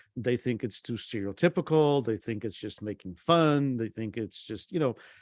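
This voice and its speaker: In a very clean recording with a silent background and a dry, close sound with no echo, a man speaks at a medium pitch and a moderate pace. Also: lively intonation. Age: 60s. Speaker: panel moderator. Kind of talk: panel discussion. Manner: halting, many fillers.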